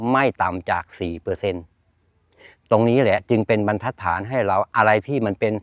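A man speaks in a normal speaking voice with a fairly low pitch. The background is quiet. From eastern Thailand, Chanthaburi. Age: 60s. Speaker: farmer. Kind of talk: interview.

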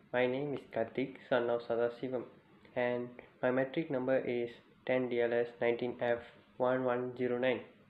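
A man at medium pitch, moderate pace and few pauses, with monotone, flat intonation and audible room echo.

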